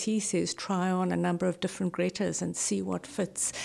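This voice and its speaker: On a very clean recording with a silent background, a woman speaks in a dark, mellow tone with fairly even intonation. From South Africa. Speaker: novelist. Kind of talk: interview.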